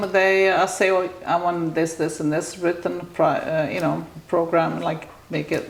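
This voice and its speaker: A woman speaks at a fairly slow pace and a fairly low pitch, with monotone, flat intonation. Noticeable background noise and audible room echo fill the recording. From Italy. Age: 70s. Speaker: salon owner and hairdresser. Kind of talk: interview. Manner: halting.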